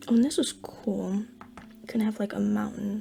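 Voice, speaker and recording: The speech proceeds at a moderate pace while noticeable background noise carries on. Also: woman. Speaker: art YouTuber. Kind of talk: casual drawing vlog. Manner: quiet, low energy; chewing gum while talking. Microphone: close to the mic, mouth noises.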